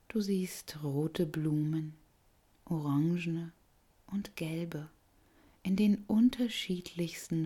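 A woman's dark, mellow, somewhat breathy voice at a very slow pace, with long, frequent pauses. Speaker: yoga nidra guide. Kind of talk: guided meditation. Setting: recorded audio for listener lying down. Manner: slow, soft and soothing; gentle, calm, unhurried with long pauses.

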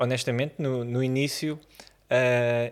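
Heard on a very clean recording with a silent background, a man speaks with fairly even intonation. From Portugal, Vila Franca de Xira. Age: 30s. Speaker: photographer. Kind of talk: interview conversation. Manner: halting, many repetitions and fillers.

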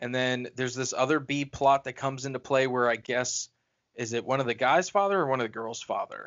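In a plain, everyday voice, a man speaks at a medium pitch and a fairly quick pace with fairly even intonation. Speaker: horror movie podcast co-host. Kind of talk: casual chat.

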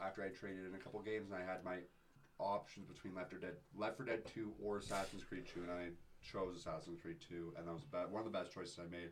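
A man speaks in an ordinary speaking voice with a Canadian accent. His pitch is fairly low. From Calgary, Canada. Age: 20s. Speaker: vintage thrift store owner and DJ. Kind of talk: casual chat.

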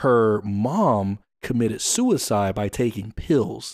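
A man speaks with a fairly low pitch and an American accent. The recording is very clean, with a silent background. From US. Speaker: podcast host. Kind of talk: casual monologue. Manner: fast.

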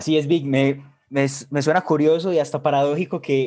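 Speaking with a Colombian Paisa accent, a man has a dark, mellow tone and a moderate pace. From Colombia, Medellín. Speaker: podcast co-host. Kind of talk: casual chat.

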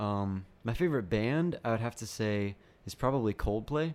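A man with a plain, everyday voice speaks at a medium pitch and a moderate pace, his intonation lively. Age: 20s. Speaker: pastoral resident and author. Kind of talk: interview.

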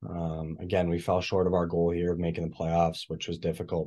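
With a Canadian Prairies accent, a man talks at a fairly quick pace in a very deep, low pitch. The background is quiet. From Manitoba, Canada. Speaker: junior hockey player. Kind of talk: interview. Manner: frequent 'uh' fillers.

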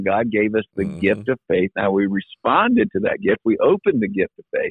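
A man speaks in a normal speaking voice with ordinary pitch variation. His pitch is medium and his pace moderate. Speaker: pastor. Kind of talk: casual chat. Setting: phone call.

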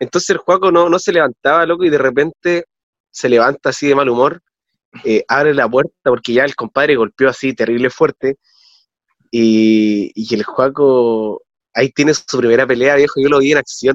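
In an unremarkable speaking voice, a man talks at medium pitch and a moderate pace with ordinary pitch variation and very even loudness, the sound dry and close with no echo. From Chile, Calama. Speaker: former student colporteur. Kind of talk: casual chat.

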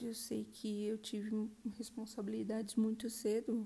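This woman has a fairly high pitch and a dark, mellow tone. She speaks at a moderate pace. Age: 30s. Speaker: podcast guest, mother sharing abuse survivor story. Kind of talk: testimony.

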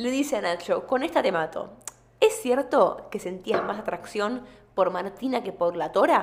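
In a Rioplatense accent, the speaker moves at a fairly slow pace with lively intonation against noticeable background noise. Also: woman, fairly high pitch for a woman. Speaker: podcast host. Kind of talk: casual chat.

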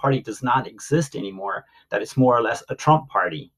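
Fairly quick speech comes from a man with an American accent. His pitch is medium and his voice somewhat breathy. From US, Maryland Eastern Shore (Salisbury). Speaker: Air Force veteran. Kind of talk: interview. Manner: halting, frequent fillers.

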